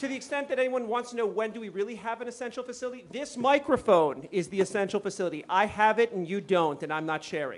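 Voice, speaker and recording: A loud man with a high pitch, lively intonation and a very fast pace. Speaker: conference panel moderator. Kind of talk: panel moderation. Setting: conference stage with audience.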